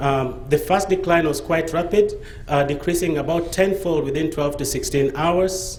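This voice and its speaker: The recording has noticeable background noise. Audible room echo surrounds the voice. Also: man. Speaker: pharmaceutical researcher. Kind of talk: conference presentation. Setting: conference stage with audience. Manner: fast; hesitant, with fillers.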